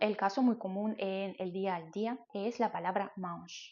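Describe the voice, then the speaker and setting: Speaking at a very slow pace, a woman uses a medium pitch and a Russian accent. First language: Russian (speaking Spanish). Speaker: language-learning YouTuber. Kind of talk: educational explainer.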